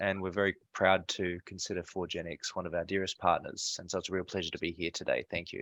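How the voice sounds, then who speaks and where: A man with an Australian accent speaks very fast with hardly any pauses, his very deep, low voice flat and monotone. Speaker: security software company co-founder. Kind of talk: self-introduction on webinar. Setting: video call webinar.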